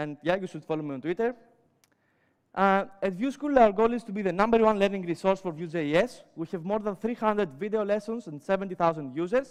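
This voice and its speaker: With a Greek accent, a man speaks at a fairly quick pace and a high pitch. His pitch varies in an ordinary way against a quiet background. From Greece. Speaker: web developer and educator. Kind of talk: conference talk. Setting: stage with audience. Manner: many filler sounds.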